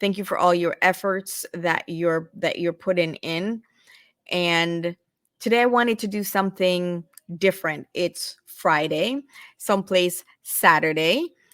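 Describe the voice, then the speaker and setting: A woman's fairly low voice at a fairly slow pace, with ordinary pitch variation, a dry, close sound with no echo, and a very clean recording over a silent background. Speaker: realtor and online group host. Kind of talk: live-stream tutorial. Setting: live stream, away from home studio. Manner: halting, with many fillers.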